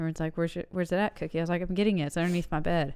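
A woman's fairly low voice comes through on a very clean recording where the background is silent. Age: 30s. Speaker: podcast co-host. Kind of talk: casual banter. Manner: animated, jokey.

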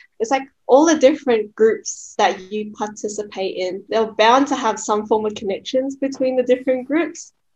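With an Australian accent and hardly any pauses, a woman speaks at a moderate pace in a fairly high pitch with ordinary pitch variation. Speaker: podcast co-host. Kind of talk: casual chat.

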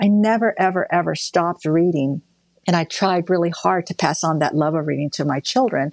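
A fairly low-pitched woman speaks at a moderate pace with ordinary pitch variation. The sound is dry and close with no echo, and the background is quiet. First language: not English. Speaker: defense department official. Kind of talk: interview.

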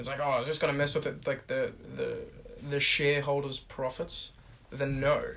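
Fairly quick male speech with an Australian accent. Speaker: podcast host. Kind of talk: casual chat.

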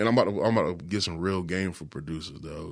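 Very fast speech comes from a man with a very deep, low pitch and ordinary pitch variation. The recording is very clean with a silent background. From South Carolina, Florence. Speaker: music producer and beatmaker. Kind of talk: casual chat. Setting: studio.

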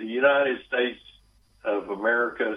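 A man with a Texas accent. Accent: Southern US (Texas). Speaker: author. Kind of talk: interview. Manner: hesitant, many fillers.

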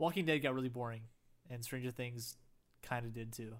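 A man at a fairly quick pace with fairly even intonation. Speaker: podcast host. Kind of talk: casual chat. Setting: podcast recording. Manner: eases voice into intro.

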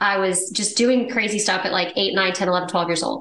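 An ordinary speaking voice from a woman with an American accent, fairly even intonation and a fairly quick pace. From Texas. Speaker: real estate investor. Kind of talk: casual interview chat.

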